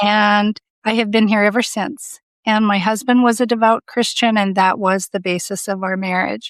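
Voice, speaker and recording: A woman's normal speaking voice with an American accent, medium pitch and fairly even intonation, on a very clean recording with a silent background and a dry, close sound with no echo. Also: moderate pace. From Southern California. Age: 60s. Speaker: coaching client. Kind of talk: interview, personal testimony.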